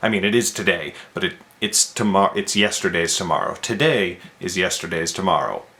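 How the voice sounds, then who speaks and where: Over noticeable background noise, a man speaks quietly at a fairly quick pace. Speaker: vlogger and indie author. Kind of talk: casual vlog monologue. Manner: speaking quietly; halting, repeats words.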